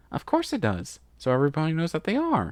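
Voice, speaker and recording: Someone rattles off lines at a very fast pace in a put-on character voice. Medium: read story. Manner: giggly, excitable.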